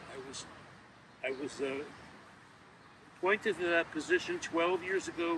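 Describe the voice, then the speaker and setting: Noticeable background noise runs under a man with an American accent. He speaks at a moderate pace with a high pitch and ordinary pitch variation. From New York City, Queens. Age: 70s. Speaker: local historian. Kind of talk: interview. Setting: outdoors. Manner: halting.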